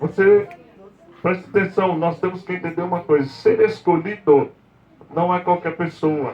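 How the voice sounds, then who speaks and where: A soft-spoken man with a high pitch talks at a fairly slow pace with ordinary pitch variation. Noticeable background noise is present. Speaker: apostle, preacher. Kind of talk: sermon.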